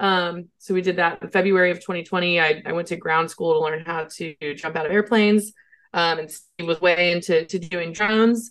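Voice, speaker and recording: A woman with a normal speaking voice talks at a moderate pace, her pitch fairly low and her intonation fairly even. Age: 30s. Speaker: HR consultant and entrepreneur. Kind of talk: interview.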